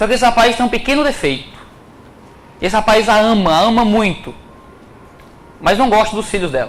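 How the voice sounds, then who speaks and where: In a Ceará accent, a man with a high pitch talks at a fairly quick pace with ordinary pitch variation and long, frequent pauses, amid noticeable background noise and audible room echo. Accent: Cearense (northeastern Brazilian). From Ceará, Brazil. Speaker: preacher. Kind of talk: sermon.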